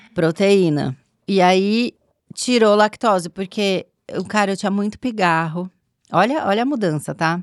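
A woman's medium-pitched, animated voice at a fairly slow pace, with ordinary pitch variation, long and frequent pauses, and a dry, close sound with no echo. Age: 40s. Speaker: podcast guest. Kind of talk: casual chat.

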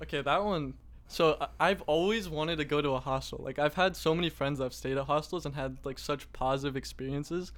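With an ordinary speaking voice, a man talks at a fairly quick pace and fairly high pitch, with ordinary pitch variation. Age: 20s. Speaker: content creator. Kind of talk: casual chat.

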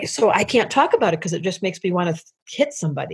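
With an American accent, a woman talks at a very fast pace in a medium pitch, her somewhat breathy voice carrying lively intonation. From US Midwest (Detroit). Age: 60s. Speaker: astrologer. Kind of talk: casual chat.

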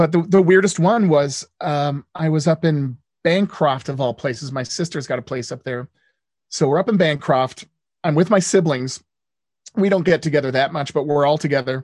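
A man's plain, everyday voice, fairly high in pitch with ordinary pitch variation, at a moderate pace, dry and close with no echo against a quiet background. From born in the US, lived in Canada and the Netherlands. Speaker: radio host and DJ, former TV game show host. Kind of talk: casual interview chat. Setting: podcast interview.

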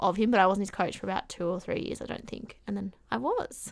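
Over a silent background in a very clean recording, a woman with an Australian accent speaks at a medium pitch. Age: 20s. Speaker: swim coach and teaching student. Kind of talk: casual chat.

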